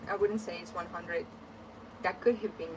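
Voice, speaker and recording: Someone speaks with a Ukrainian accent over noticeable background noise. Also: woman. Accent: Ukrainian accent, trying to reduce it. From Ukraine. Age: 30s. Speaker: sewing livestreamer. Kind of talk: casual chat. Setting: livestream from hot attic sewing room. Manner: hesitant, many fillers.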